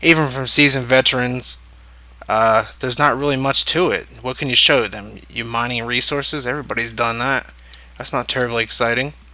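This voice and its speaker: A quiet man with a medium pitch and a bright, sharp tone, fairly even intonation and a fairly quick pace. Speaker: gaming video creator. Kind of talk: let's play commentary.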